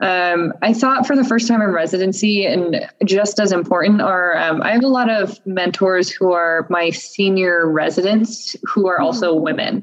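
A woman of medium pitch at a moderate pace, with very even loudness, hardly any pauses and ordinary pitch variation, over noticeable background noise. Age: 20s. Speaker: surgical resident. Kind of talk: casual interview. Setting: video call.

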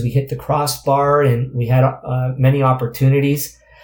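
Somewhat breathy and fairly high-pitched, a man talks with a Canadian accent. His pace is fairly slow and his intonation is monotone and flat. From Canada. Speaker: former professional soccer player. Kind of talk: interview. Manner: halting, many fillers.

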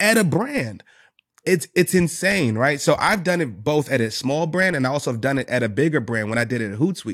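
An animated man with a New York accent, fairly high-pitched, with very wide pitch swings at a fairly quick pace. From New York City, the Bronx. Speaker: sales executive and business owner. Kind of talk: casual interview chat.

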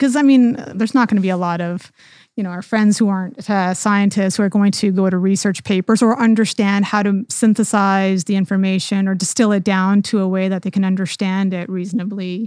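A woman speaks at medium pitch in a plain, everyday voice. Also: fairly even intonation, fairly quick pace. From Canada. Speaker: podcast host, physician. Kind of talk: interview.

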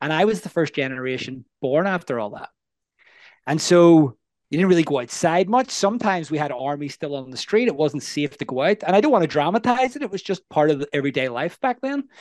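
Speaking with a Northern Irish accent, a man talks fairly quickly at a fairly high pitch with very wide pitch swings. The sound is dry and close with no echo, over a quiet background. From Northern Ireland, Belfast. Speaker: life coach. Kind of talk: casual interview.

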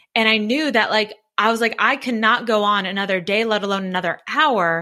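A woman's fairly high-pitched, plain, everyday voice at a fairly quick pace with ordinary pitch variation. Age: 30s. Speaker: public speaker and entrepreneur. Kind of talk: interview.

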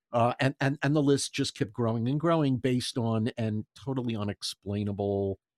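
Recorded very cleanly against a silent background, with a dry, close sound and no echo, a man talks at medium pitch and a moderate pace with ordinary pitch variation. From US Northeast, Philadelphia. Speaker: voice artist and ventriloquist. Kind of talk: casual interview storytelling. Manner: animated.

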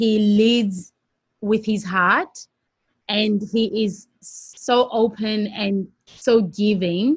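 Somewhat breathy, a woman with a fairly high pitch speaks at a very slow pace with fairly even intonation. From South Africa (Johannesburg). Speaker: TV presenter and producer. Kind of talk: interview.

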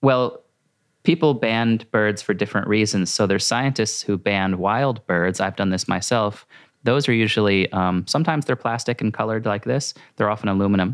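An unremarkable speaking voice with an American accent moves at a fairly quick pace, with ordinary pitch variation and very even loudness, on a very clean recording with a silent background. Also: man, fairly low pitch for a man. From US Northeast, rural Maine. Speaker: naturalist and environmental educator. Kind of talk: casual interview.

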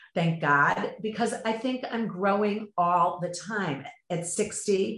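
There is audible room echo around a woman whose pitch shows ordinary variation. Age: 50s. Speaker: yoga practitioner and mother. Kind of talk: casual chat.

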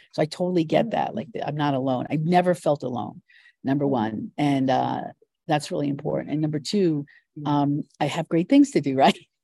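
At a moderate pace, the voice has a dark, mellow tone and ordinary pitch variation, with a dry, close sound and no echo. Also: woman, very deep, low pitch for a woman. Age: 60s. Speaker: business strategist and investor. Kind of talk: interview.

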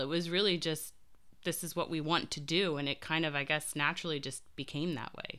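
This woman has an unremarkable speaking voice with a fairly low pitch. She talks at a fairly quick pace. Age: 40s. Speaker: podcast host. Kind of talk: casual chat. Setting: video call.

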